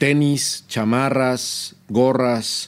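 The speaker is a man at a medium pitch. His intonation shows ordinary pitch variation. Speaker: podcast co-host, video game industry founder. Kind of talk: casual chat.

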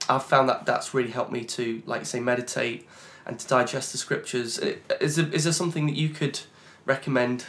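This man has an unremarkable speaking voice, medium in pitch, moving at a fairly quick pace with fairly even intonation. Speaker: podcast host. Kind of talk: podcast interview and scripture reading.

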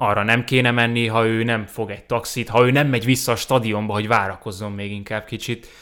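A man speaks in a normal speaking voice, medium in pitch, with fairly even intonation at a moderate pace. The recording is very clean, with a silent background. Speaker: editor and football podcast guest. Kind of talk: casual chat about football.

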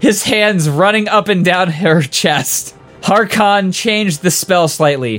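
Pitch moves in an ordinary way as the text is read aloud in a natural voice.

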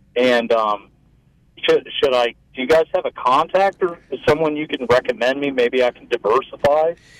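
Dry, close sound with no echo from a man at a fairly high pitch, with ordinary pitch variation and a moderate pace. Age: 30s. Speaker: caller. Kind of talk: phone-in question. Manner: halting, many fillers.

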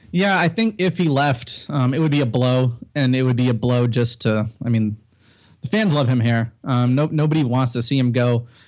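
A man with a plain, everyday voice talks at medium pitch and a moderate pace, with ordinary pitch variation and very even loudness, on a very clean recording with a silent background. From Canada (Toronto). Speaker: basketball writer. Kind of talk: casual chat.

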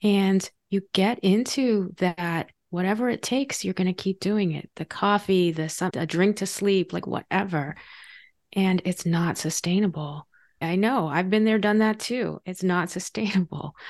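A woman speaks at a fairly slow pace in an unremarkable speaking voice, with ordinary pitch variation against a quiet background. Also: medium pitch for a woman. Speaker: podcast host. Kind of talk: interview conversation.

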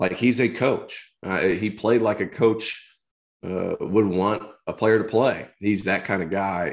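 The recording is very clean, with a silent background. A man with a plain, everyday voice speaks at a moderate pace with ordinary pitch variation. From rural Tennessee, US South. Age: 30s. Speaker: former college basketball player, basketball analyst. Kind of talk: casual interview.

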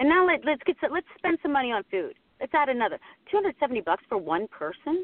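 A woman speaks with an American accent and a high pitch. Her pitch swings very widely. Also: moderate pace. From Pittsburgh, Pennsylvania. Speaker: TV sports anchor. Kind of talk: casual chat.

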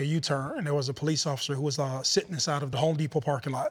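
A man's fairly high, somewhat breathy voice at a very fast pace, with fairly even intonation. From Youngstown, Ohio. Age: 30s. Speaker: former football player. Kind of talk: interview.

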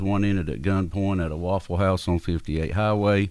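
A man's very deep, low voice at a moderate pace, monotone and flat in intonation. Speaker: mayoral candidate. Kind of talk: interview. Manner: soft-spoken.

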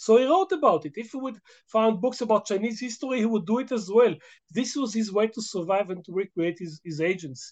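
A man with an Israeli accent talks at a fairly quick pace in a high voice for a man, his intonation lively against a quiet background. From Israel, Jerusalem. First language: Hebrew. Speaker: history professor. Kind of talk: interview. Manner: halting.

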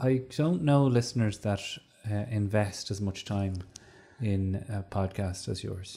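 Somewhat breathy, with a dark, mellow tone, a man with an Irish accent speaks at a fairly slow pace in a fairly low pitch. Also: ordinary pitch variation. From Ireland. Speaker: comedian and podcaster. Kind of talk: casual chat. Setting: studio.

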